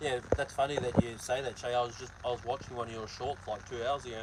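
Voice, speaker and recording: Against noticeable background noise, a man speaks at a medium pitch with fairly even intonation. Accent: New Zealand. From New Zealand, Hawke's Bay. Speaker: truck driver and vlogger. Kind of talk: casual live-stream chat reading comments. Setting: live stream while loading truck trailer.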